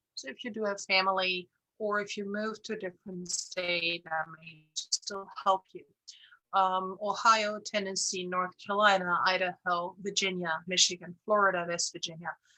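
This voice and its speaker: Speaking at a moderate pace and medium pitch, a woman with a German accent keeps a monotone, flat intonation while her loudness swings widely. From Germany, Bavaria. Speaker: insurance broker. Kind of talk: presentation. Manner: hesitant, many fillers.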